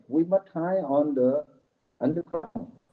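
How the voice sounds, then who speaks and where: Intonation is lively. The man talks at a very slow pace. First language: Vietnamese. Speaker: Buddhist monk. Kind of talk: conference speech. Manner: halting.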